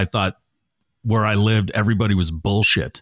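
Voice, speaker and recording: Recorded dry and close with no echo on a very clean recording with a silent background, a man speaks at a very fast pace in a fairly low pitch. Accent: American. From Massachusetts (Natick). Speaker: radio morning show host. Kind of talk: casual chat.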